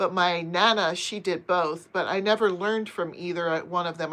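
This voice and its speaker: An unremarkable speaking voice with an American accent delivers the words in fairly even intonation. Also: woman. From US, Pennsylvania. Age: 50s. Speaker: crochet and knitting youtuber. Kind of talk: casual live stream chat reading viewer comments. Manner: chatty, conversational.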